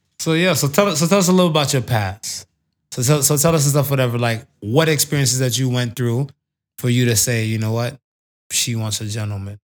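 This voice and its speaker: A man's normal speaking voice at medium pitch, fairly quick pace and ordinary pitch variation, on a very clean recording with a silent background. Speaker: podcast host. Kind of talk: casual banter podcast chat. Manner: laid-back, joking, profane.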